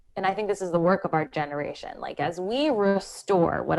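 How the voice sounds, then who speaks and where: Using an American accent, a woman speaks at a moderate pace with ordinary pitch variation. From US Northeast, Philadelphia. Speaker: creativity coach and writer. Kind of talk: podcast interview. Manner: animated.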